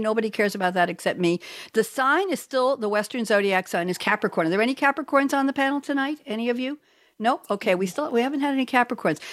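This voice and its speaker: A woman speaks fairly quickly in a high, animated voice. Her pitch swings very widely. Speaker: radio host. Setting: video call.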